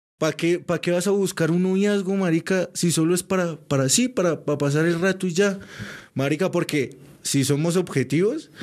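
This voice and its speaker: A man speaks with a high pitch and very even loudness. The recording is very clean, with a silent background. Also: ordinary pitch variation, moderate pace. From Colombia, Cúcuta. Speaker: podcast guest. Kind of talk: casual chat.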